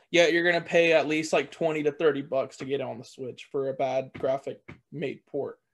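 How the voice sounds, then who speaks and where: A moderate pace, big swings in loudness and fairly even intonation. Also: man, fairly high pitch for a man. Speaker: gaming podcast co-host. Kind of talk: casual chat.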